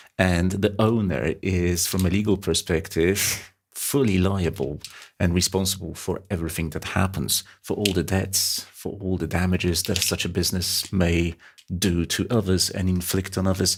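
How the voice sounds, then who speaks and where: A man with a non-native accent, a very deep, low pitch, fairly even intonation and a moderate pace. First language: not English. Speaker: finance exam tutor. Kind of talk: lecture. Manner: halting.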